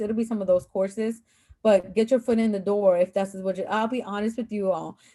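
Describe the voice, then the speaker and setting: A woman's voice with a dark, mellow tone. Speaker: adjunct professor and former school counselor. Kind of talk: online panel talk to students. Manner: fast; casual, filler-heavy.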